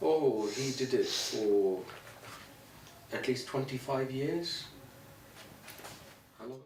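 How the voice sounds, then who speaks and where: A man with a northern English accent speaks at a very slow pace, leaving long, frequent pauses. His pitch is medium with ordinary variation, while his loudness swings widely. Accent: northern English (Greater Manchester). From Pakistan, Punjab. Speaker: youth and community worker. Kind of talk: interview answer.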